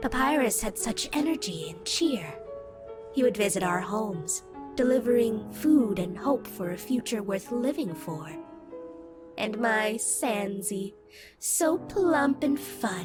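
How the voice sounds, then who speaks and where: A female-sounding cartoonish character voice, fairly high in pitch, speaks at a fairly slow pace over clear music in the background. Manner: storytelling.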